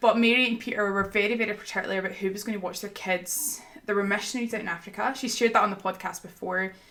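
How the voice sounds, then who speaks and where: Talking at a very fast pace with hardly any pauses, a woman with a Scottish accent keeps a medium pitch and fairly even intonation. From Scotland. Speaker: podcast guest, ministry school graduate. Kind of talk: casual chat, faith podcast.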